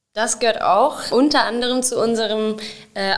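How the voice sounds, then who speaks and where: Noticeable background noise sits behind the recording. A woman speaks with a fairly high pitch. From Sauerland, Germany (Wenden, Kreis Olpe). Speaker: municipal event organiser. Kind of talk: casual interview.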